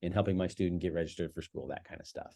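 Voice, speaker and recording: The voice belongs to a man with a very deep, low pitch. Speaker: high school principal. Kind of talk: informal video message to parents. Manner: fast; halting, many fillers.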